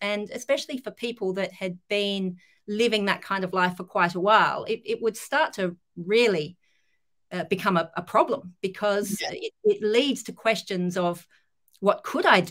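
With an Australian accent, a woman speaks at a medium pitch and a moderate pace. Her pitch variation is ordinary, and the background is quiet. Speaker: life coach. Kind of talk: live video interview. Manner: halting, many fillers. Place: home room.

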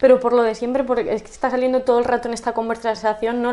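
A woman with a dark, mellow tone. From Spain, La Mancha (Campo de Criptana); La Mancha, Spain. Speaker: journalist and writer; journalist. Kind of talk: interview conversation. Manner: halting, repetitive. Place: home room. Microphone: camera far.

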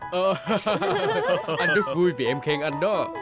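A man speaks in a high-pitched, cartoonish character voice with very wide pitch swings. He talks at a slow pace over clear music in the background.

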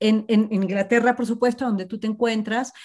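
Against a quiet background, a woman with a fairly high pitch talks at a fairly quick pace in a somewhat breathy voice. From Mexico. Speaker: university professor, seminar organizer; university professor. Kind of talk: casual chat; interview questions and discussion. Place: home room. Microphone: video call.

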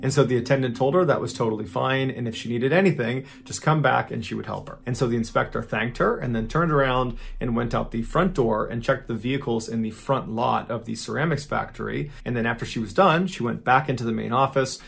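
A man rattles along at a very fast pace with hardly any pauses. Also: ordinary pitch variation. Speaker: storyteller host. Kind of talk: narrative storytelling.

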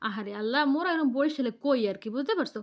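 A woman with a Barisal accent, ordinary pitch variation and noticeable background noise. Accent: Barisal Bengali dialect. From Bangladesh, Barisal. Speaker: home cooking video host. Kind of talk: cooking tutorial. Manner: casual, chatty.

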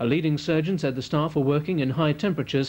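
Speaking with a British accent, a man has a fairly high pitch. His pitch varies in an ordinary way. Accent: British received pronunciation. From England. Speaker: TV news announcer. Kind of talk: scripted regional TV news bulletin read to camera. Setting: TV studio. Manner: formal, crisp, measured and brisk. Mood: formal, serious. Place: studio.

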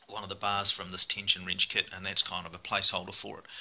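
This man's voice sits fairly low. His delivery stays flat and monotone. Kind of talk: tutorial. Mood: playful, explanatory. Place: home room.

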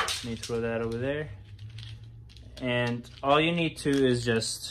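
Faint music plays in the background. The speaker goes at a fairly slow pace with ordinary pitch variation. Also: man. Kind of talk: tutorial. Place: garage. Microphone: phone near.

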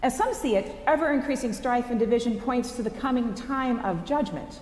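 The speaker moves at a moderate pace with ordinary pitch variation. Audible room echo surrounds the voice. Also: woman. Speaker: associate priest. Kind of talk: sermon. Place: church.

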